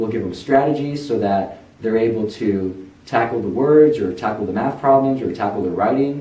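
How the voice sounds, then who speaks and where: Noticeable background noise and audible room echo around a man, moderate in pace, ordinary in pitch variation. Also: medium pitch for a man, hardly any pauses. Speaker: tutoring center founder. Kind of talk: personal testimony. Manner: earnest, encouraging.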